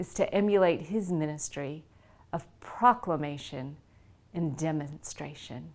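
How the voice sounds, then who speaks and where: Here a woman with an American accent has a plain, everyday voice and ordinary pitch variation. She talks at a fairly slow pace on a very clean recording with a silent background. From US South. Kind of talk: devotional talk.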